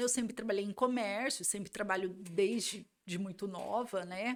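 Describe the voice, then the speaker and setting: An unremarkable speaking voice from a woman, fairly slow, with ordinary pitch variation. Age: 40s. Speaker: lawyer. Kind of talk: podcast interview.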